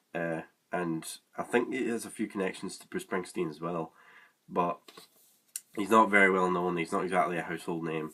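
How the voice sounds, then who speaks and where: In a Scottish accent, the speaker moves at a fairly quick pace with fairly even intonation, big swings in loudness, and long, frequent pauses. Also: man, very deep, low pitch for a man. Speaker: music reviewer. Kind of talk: casual review monologue. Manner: hesitant, many fillers.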